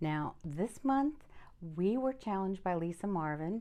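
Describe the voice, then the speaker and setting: The woman's tone is dark and mellow. Behind her, the background is quiet. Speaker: fluid art painter and channel host. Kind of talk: casual chat to camera. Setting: home art studio. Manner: hesitant, many fillers.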